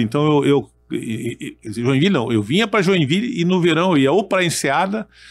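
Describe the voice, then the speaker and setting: In a very clean recording with a silent background, a man's pitch swings very widely. He talks at a fairly quick pace. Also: hardly any pauses, very even loudness. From Brazil, military family moving around. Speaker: retired army colonel and federal deputy. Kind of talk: podcast interview. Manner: halting, repeats words.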